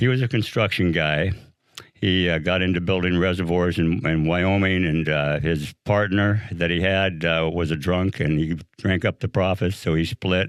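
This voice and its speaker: Against a quiet background, a man with a very deep, low voice speaks at a moderate pace with ordinary pitch variation. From Northern California. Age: 70s. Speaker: recovering alcoholic, Marine veteran. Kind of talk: personal recovery testimony. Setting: studio. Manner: hesitant, many fillers.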